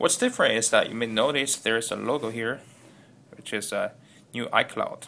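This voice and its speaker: A man with a non-native accent talks with long, frequent pauses. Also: fairly quick pace. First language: not English. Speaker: tech video creator. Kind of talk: unboxing tutorial. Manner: halting, with repeated words and fillers.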